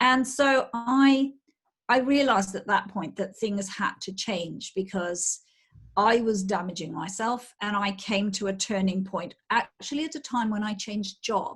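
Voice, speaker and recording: Speaking with a British accent, a woman has a medium pitch and a somewhat breathy voice. Her pace is fairly slow, with ordinary pitch variation. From UK. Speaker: menopause coach. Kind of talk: interview.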